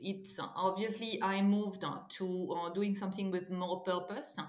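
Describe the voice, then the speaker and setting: A woman with a French accent talks at a medium pitch and a fairly slow pace over noticeable background noise. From France. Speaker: startup co-founder and CEO. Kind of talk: interview. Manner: halting, many fillers.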